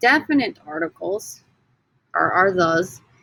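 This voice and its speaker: Her tone animated, a woman at medium pitch speaks with lively intonation and vocal fry. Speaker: Spanish teacher. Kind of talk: recorded lesson. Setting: screen recording.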